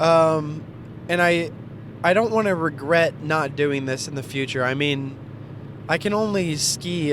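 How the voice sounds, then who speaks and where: Noticeable background noise sits behind this recording. A man speaks with an American accent. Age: 20s. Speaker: vlogger, lawn care business owner. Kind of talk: casual vlog monologue.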